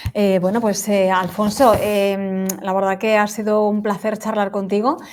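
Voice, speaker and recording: A woman speaks over noticeable background noise. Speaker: show host. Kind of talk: interview.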